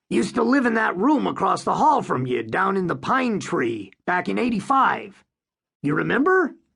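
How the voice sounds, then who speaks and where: A put-on character voice at a middle pitch. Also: moderate pace. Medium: read story. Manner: blunt, slangy.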